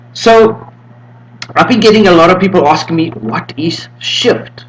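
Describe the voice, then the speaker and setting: Noticeable background noise sits behind a man with a fairly high pitch. He talks at a moderate pace with very wide pitch swings. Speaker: Linux distro developer. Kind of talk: tutorial. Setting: home room with windows open. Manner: casual.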